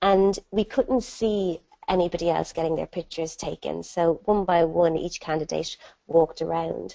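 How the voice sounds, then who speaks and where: With an Irish accent, a woman speaks at a moderate pace, her fairly low pitch showing ordinary variation. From Ireland. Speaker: entrepreneur and dyslexia ambassador. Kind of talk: webinar talk. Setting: online webinar. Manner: animated storytelling.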